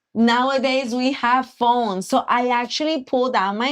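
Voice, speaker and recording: A woman speaks with a Puerto Rican accent. Her high-pitched voice moves at a fairly slow pace. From Puerto Rico. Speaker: accountant and financial coach. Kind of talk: live stream chat. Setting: live stream.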